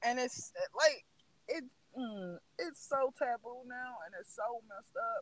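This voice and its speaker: A man with a Southern US accent talks at an extremely high pitch with ordinary pitch variation, big swings in loudness and long, frequent pauses, in a dry, close sound with no echo. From US South. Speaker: podcast host. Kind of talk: casual chat.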